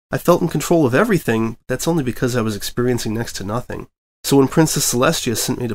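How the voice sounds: Heard against a quiet background is a natural reading voice.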